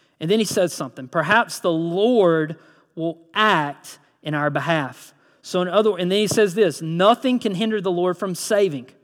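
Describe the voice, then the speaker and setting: A man with a high pitch, ordinary pitch variation, and a Southern US accent, on a very clean recording with a silent background. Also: moderate pace. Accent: Southern US (Georgia). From US South, Georgia (Lyons, Vidalia area). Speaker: pastor. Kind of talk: sermon. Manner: animated.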